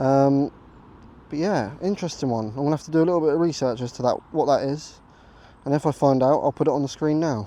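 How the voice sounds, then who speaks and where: In an English accent, a man speaks at a fairly high pitch with ordinary pitch variation. His tone is dark and mellow, and his pace fairly quick. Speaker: metal detecting vlogger. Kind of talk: casual vlog narration. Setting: outdoors in a field. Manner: hesitant, many fillers; quieter than usual.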